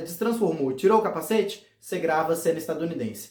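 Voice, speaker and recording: Noticeable background noise and audible room echo around a man's speech. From Goiás, Brazil. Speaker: fan series creator, youtuber. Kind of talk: casual explainer video.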